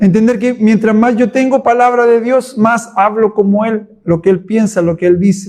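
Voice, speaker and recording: Here a man speaks in a high pitch with fairly even intonation and very even loudness. His pace is moderate, with hardly any pauses. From Chile. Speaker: pastor. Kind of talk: Bible study teaching. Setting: church.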